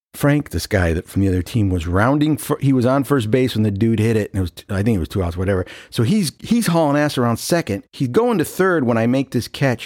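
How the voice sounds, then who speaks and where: At a fairly quick pace with hardly any pauses, a man speaks in a medium pitch with lively intonation, the sound dry and close with no echo. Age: 50s. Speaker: podcast host. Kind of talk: casual chat. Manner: halting; laughing often.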